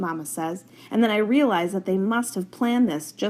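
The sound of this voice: A reading voice that sounds unforced.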